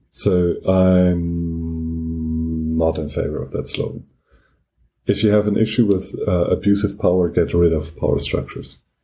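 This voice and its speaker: A man's very deep, low voice in a strong German accent, fairly slow and fairly even in intonation, with music in the background. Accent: heavy German. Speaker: podcast co-host. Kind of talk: casual discussion.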